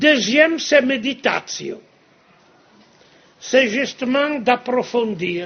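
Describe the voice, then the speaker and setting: Pausing long and often at a very slow pace, a man speaks at an extremely high pitch with ordinary pitch variation. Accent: non-native. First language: Italian (speaking French). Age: 70s. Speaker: monastic prior and speaker. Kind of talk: lecture. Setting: cathedral with audience.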